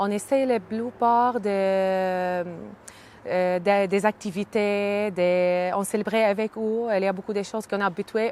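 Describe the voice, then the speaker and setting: A woman talks with a slight Arabic accent at a medium pitch. Her intonation stays fairly even. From Syria, Hama region. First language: Arabic (speaking French). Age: 30s. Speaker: immigrant, early childhood educator. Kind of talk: interview testimony. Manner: halting, many hesitations.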